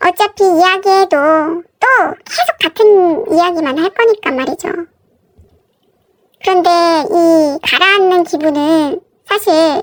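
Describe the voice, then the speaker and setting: An extremely high-pitched woman's voice at a very slow pace with ordinary pitch variation, in a dry, close sound with no echo. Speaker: married woman telling her story. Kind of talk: first-person story reading.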